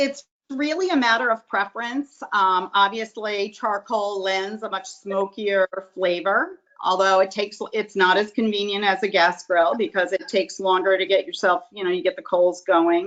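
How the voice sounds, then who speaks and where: At a moderate pace, a woman with medium pitch, ordinary pitch variation and an unremarkable speaking voice talks. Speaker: grilling expert giving tips. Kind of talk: presentation on a video call. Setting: video call.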